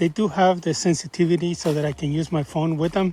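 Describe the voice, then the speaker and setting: Noticeable background noise runs throughout. The talking goes at a moderate pace. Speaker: hiker vlogger. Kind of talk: trail vlog monologue. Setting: outdoors on a hiking trail. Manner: halting, many fillers.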